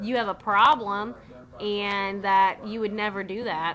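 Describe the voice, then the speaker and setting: Speaking with a Southern US accent, a woman has a bright, sharp tone. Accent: Southern US country. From US South. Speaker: vlogger. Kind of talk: casual vlog monologue.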